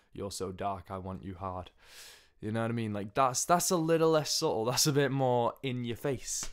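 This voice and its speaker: Lively intonation and a moderate pace carry this speech in an English accent over a quiet background. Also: man, medium pitch for a man. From England. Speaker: music video blogger. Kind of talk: casual opinion monologue. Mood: relaxed, opinionated. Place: home room. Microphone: studio mic.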